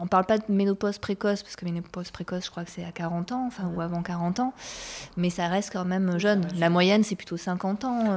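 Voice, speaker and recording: A woman in an ordinary speaking voice talks at a fairly quick pace, her medium pitch carried on fairly even intonation. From Bordeaux, France. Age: 40s. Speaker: performing arts worker. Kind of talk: casual chat.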